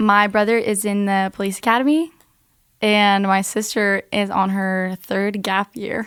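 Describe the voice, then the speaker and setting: A woman with an American accent talks at a medium pitch and a fairly slow pace, her intonation fairly even. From Norway (Bergen). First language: Norwegian. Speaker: podcast guest. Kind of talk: interview. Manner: casual.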